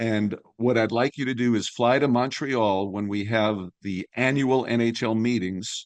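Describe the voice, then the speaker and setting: The man talks at a fairly slow pace with fairly even intonation. The background is quiet. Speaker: veteran sports broadcaster, radio play-by-play announcer. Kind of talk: interview answer, storytelling about his career.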